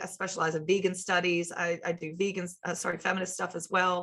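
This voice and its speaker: With an American accent, a woman talks at a fairly quick pace in a bright, sharp tone. Her medium-pitched voice stays monotone and flat. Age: 30s. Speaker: sociology lecturer. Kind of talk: lecture. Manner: halting, with fillers and repeated words.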